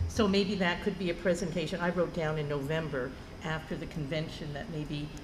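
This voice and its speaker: Spoken at a moderate pace with ordinary pitch variation, the clip carries noticeable background noise and audible room echo. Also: woman. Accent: American. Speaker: school board member. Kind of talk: board meeting discussion.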